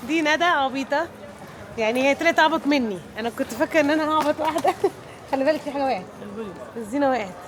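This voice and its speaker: With an Egyptian accent, a woman talks at a very fast pace in a high voice with ordinary pitch variation, broken by long, frequent pauses over noticeable background noise. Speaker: travel vlogger. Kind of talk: travel vlog. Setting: on location while traveling. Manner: casual, chatty.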